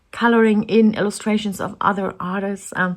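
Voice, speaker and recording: In a German accent, a woman speaks at a fairly slow pace. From Germany. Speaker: artist and coloring channel creator. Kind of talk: casual chat. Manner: halting.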